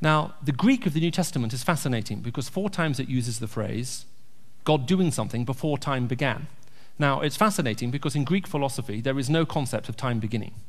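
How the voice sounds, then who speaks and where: A man's fairly high, somewhat breathy voice at a very fast pace, with audible room echo. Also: ordinary pitch variation. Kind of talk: church talk with Q&A. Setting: church.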